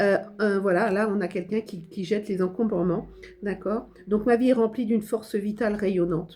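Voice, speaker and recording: A woman talks at a moderate pace. Her voice sits at a medium pitch with fairly even intonation. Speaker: tarot card reader and spiritual medium. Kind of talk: channeled tarot guidance reading. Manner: hesitant, many fillers.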